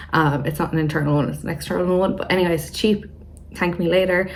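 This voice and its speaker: A fairly low-pitched woman with a British accent, very fast pace, monotone, flat intonation and vocal fry. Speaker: YouTuber. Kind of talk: casual chat.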